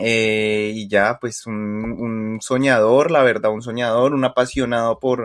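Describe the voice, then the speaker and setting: Speaking in a Colombian accent, a man uses a medium pitch. He talks at a very slow pace. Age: 20s. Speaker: podcast co-host. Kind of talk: casual chat.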